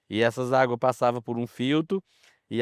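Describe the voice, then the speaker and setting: A man's voice with ordinary pitch variation. The sound is dry and close, with no echo. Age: 70s. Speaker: farmer. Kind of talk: documentary interview testimony.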